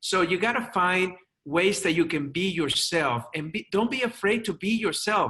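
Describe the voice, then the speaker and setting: Over a quiet background, a man with a high pitch and a bright, sharp tone talks at a moderate pace. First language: not English. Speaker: chiropractor and media speaker. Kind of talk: interview.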